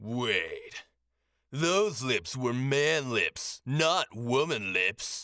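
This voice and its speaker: Using a put-on character voice, a man speaks at medium pitch and a very slow pace with lively intonation, in a dry, close sound with no echo on a very clean recording with a silent background. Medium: read story. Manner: terse, deadpan.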